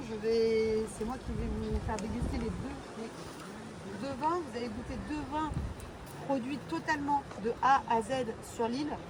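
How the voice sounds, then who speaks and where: Amid noticeable background noise and audible room echo, a woman talks at a fairly slow pace and a fairly high pitch with ordinary pitch variation. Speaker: sommelier giving a wine tasting. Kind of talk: guided wine tasting talk.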